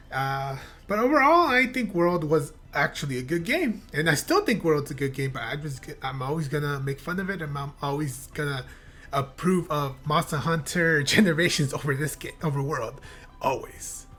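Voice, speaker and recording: A woman with a very deep, low pitch and lively intonation at a moderate pace, music in the background. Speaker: gaming youtuber. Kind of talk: reaction video commentary. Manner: halting. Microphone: new blue yeti mic.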